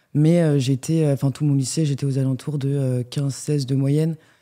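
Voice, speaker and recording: At a moderate pace, a woman speaks with a very deep, low pitch and a dark, mellow tone on a very clean recording with a silent background. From France, Lyon. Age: 20s. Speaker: business school student. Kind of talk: interview. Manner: hesitant, many fillers.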